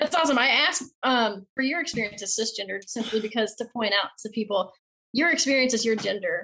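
This woman has a bright, sharp tone, a fairly high pitch and lively intonation. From South Carolina. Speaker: model horse hobbyist. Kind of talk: casual interview. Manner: talkative.

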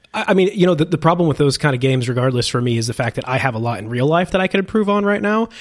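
Over noticeable background noise, a fairly high-pitched man talks at a very fast pace with hardly any pauses and very wide pitch swings. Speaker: podcast co-host. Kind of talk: casual chat.

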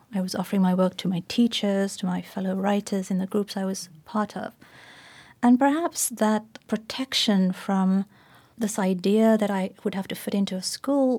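A somewhat breathy voice with a dark, mellow tone at a moderate pace, on a very clean recording with a silent background. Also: woman. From South Africa, Port Elizabeth. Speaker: poet and professor. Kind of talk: public conversation. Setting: stage with audience.

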